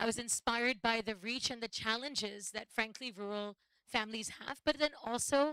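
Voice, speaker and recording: A woman speaks at a fairly high pitch. Her tone is bright and sharp. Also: dry, close sound with no echo. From United States. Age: 40s. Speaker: social entrepreneur. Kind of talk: panel talk at live event.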